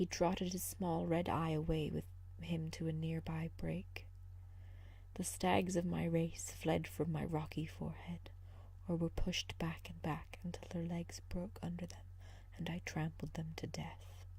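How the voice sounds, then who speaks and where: A soft-spoken woman with a gentle tone, at a fairly slow pace. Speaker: ASMR reader. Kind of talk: sleep story, fairy tale reading. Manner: soft-spoken, gentle, relaxing.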